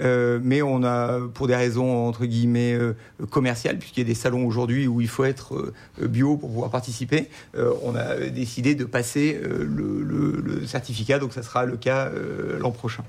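Fairly slow and at a medium pitch, a man delivers his words. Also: ordinary pitch variation. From northern Rhône valley, France. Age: 40s. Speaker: winemaker. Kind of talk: radio interview. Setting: restaurant with live audience. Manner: halting.

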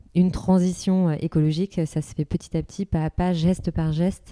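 A woman's dark, mellow tone with monotone, flat intonation. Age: 30s. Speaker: entrepreneur. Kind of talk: interview conversation.

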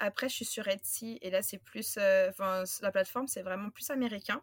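A woman speaks in a bright, sharp tone at a fairly slow pace with ordinary pitch variation. The sound is dry and close, with no echo. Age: 30s. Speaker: craft business owner, former teacher. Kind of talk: interview.

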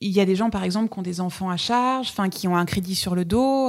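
The pace here is moderate. It is an unremarkable speaking voice. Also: woman. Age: 40s. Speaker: wedding photographer. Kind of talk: casual chat. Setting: at the guest's home.

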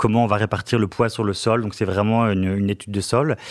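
This very clean recording has a silent background. In it, a man speaks with fairly even intonation. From northern France, Lille. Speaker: finance director. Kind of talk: interview. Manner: hesitant, frequent fillers and repetitions.

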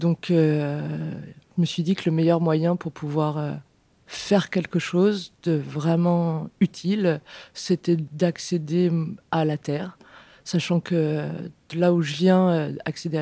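Speaking at a very slow pace with long, frequent pauses, a woman has a fairly low pitch, a dark, mellow tone and monotone, flat intonation, on a very clean recording with a silent background and a dry, close sound with no echo. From Beauce, France. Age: 30s. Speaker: organic vegetable farmer. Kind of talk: interview. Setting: farmhouse kitchen.

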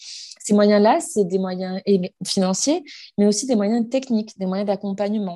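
Somewhat breathy, a woman's voice holds a medium pitch at a moderate pace. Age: 30s. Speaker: bank employee and breast cancer awareness organizer. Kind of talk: interview testimony.

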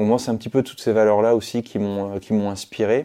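This man has a fairly low pitch and a dark, mellow tone. He speaks at a moderate pace. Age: 30s. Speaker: former special forces soldier turned youtuber. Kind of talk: interview. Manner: halting, many repetitions and fillers.

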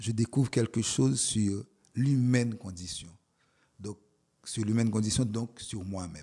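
Fairly low and somewhat breathy, a man's dark, mellow voice moves at a fairly slow pace with long, frequent pauses and big swings in loudness, in a very clean recording with a silent background. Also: ordinary pitch variation. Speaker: poet and professor. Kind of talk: interview. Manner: halting.

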